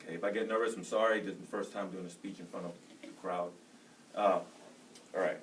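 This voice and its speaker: A man speaks with an American accent at a very fast pace. Audible room echo is present. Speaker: soldier and college student. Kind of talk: class speech. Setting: room with audience. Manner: loud.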